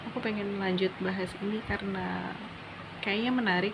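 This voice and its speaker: A soft-spoken woman talks with monotone, flat intonation. The room echo is audible and the background noise noticeable. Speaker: student vlogger. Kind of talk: personal monologue vlog. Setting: dormitory room at night. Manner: slow.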